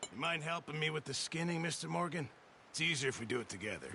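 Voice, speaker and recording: Putting on a raspy character voice at a fairly high pitch, a man speaks very fast against clear background noise. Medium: video game.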